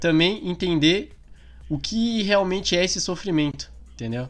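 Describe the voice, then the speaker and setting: A man speaks at a moderate pace with ordinary pitch variation while music plays in the background. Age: 20s. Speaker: podcast co-host. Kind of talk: casual chat.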